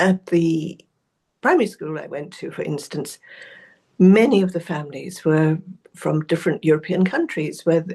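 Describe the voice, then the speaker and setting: A woman's fairly low, dark, mellow voice with a British accent, big swings in loudness, and long, frequent pauses. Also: ordinary pitch variation, moderate pace. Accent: very British. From South Africa. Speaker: researcher and author. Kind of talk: interview.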